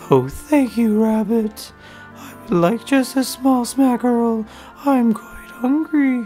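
A cartoonish character voice with a fairly high pitch speaks at a very slow pace while clear music plays in the background. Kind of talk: cartoon voice. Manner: soft, gentle.

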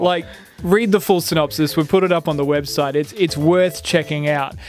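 This man speaks at a fairly quick pace and a high pitch, with ordinary pitch variation. Faint music plays behind him, and the sound is dry with no echo. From Australia. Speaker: radio gaming news presenter. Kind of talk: casual radio banter about gaming news. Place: studio. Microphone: studio mic.

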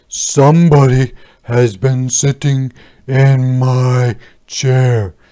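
This man talks at a very slow pace in a put-on character voice. His pitch sits in the medium range.

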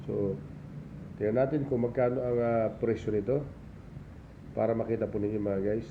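A man's medium-pitched voice at a fairly quick pace, with long, frequent pauses, fairly even intonation, very even loudness and audible room echo. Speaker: vlogger and old coin collector. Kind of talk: casual show-and-tell tutorial vlog.

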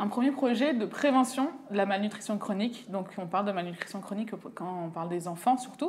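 A woman at a moderate pace, her pitch varying in an ordinary way. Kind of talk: interview answer. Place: office. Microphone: lapel.

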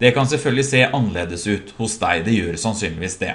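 A somewhat breathy man's voice moves through very wide pitch swings. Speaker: software trainer. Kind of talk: tutorial.

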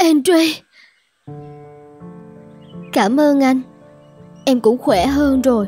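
Faint music plays behind a woman doing a cartoonish character voice at a high pitch and a very slow pace. Her tone is dark and mellow with a slightly husky edge and ordinary pitch variation.

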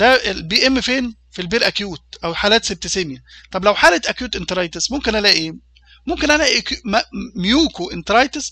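In a raised, projected voice, a man speaks at a high pitch with lively intonation. The background stays quiet. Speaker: university lecturer in veterinary food hygiene. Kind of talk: lecture. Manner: hesitant, with fillers and repetitions.

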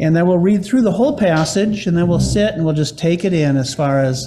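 Light background noise accompanies a man whose pitch is high for a man. He talks at a moderate pace with ordinary pitch variation. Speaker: pastor. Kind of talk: sermon. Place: church. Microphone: podium.

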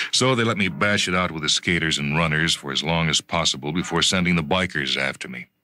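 On a very clean recording with a silent background, a man talks at a moderate pace with lively intonation. His tone is bright and sharp, with vocal fry. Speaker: radio drama narrator. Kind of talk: short story reading.

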